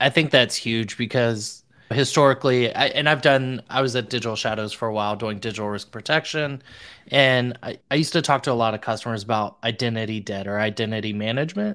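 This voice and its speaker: Using a normal speaking voice, a man talks at a fairly quick pace with medium pitch and ordinary pitch variation. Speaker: podcast co-host. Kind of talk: podcast interview.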